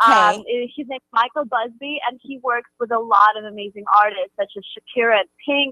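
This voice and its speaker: The speaker has a slight Russian accent and a bright, sharp tone, with fairly even intonation at a moderate pace. Loudness swings a lot, and the sound is dry and close with no echo. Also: woman. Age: young. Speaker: pop singer. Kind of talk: radio interview. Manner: halting.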